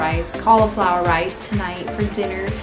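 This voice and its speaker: Clear music sits in the background as a woman speaks at a moderate pace. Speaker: home cooking vlogger. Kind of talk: casual vlog chat. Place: kitchen. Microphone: phone near.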